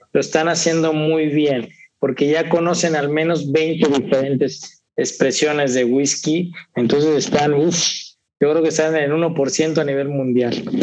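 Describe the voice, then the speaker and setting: Heard with audible room echo, a man speaks at a fairly slow pace and fairly high pitch, with very even loudness and fairly even intonation. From Veracruz, Mexico. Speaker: whisky collector. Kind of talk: casual interview.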